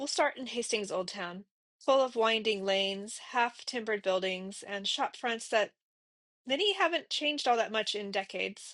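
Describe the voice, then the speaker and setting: An ordinary speaking voice, a woman with an American accent, lively intonation and a moderate pace over a quiet background. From USA. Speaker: travel vlogger. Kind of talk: travel vlog narration. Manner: calm, reflective.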